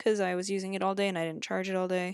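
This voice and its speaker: A quiet woman's voice at a medium pitch, very cleanly recorded against a silent background. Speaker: gaming YouTuber. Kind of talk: gameplay commentary. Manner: hesitant.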